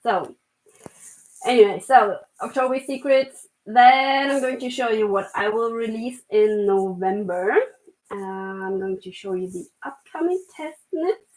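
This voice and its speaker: A woman with a German accent speaks at a fairly slow pace, her loudness swinging widely. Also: fairly high pitch for a woman, lively intonation. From Germany. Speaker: knitwear designer. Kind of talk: casual chat. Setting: live stream. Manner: halting.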